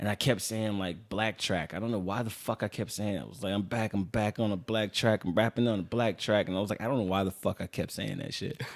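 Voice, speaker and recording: A man with a Los Angeles accent talks at a very fast pace with hardly any pauses. His pitch is fairly low and varies in an ordinary way. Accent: Californian, Los Angeles. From Los Angeles, San Fernando Valley (Pacoima). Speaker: rapper. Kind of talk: casual chat. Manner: animated.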